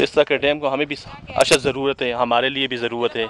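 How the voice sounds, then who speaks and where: A man's monotone, flat delivery, dry with no echo, over noticeable background noise. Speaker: vlogger filming himself. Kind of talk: casual vlog commentary. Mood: earnest, advocating dams. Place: waterside. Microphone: phone near.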